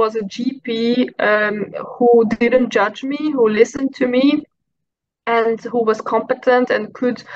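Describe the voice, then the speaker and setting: A woman speaks in a high pitch at a very slow pace. Her intonation is fairly even. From Hungary. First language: Hungarian. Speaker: mental health advocate; podcast guest. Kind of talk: personal testimony in interview. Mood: reflective, personal story. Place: home room. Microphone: video call.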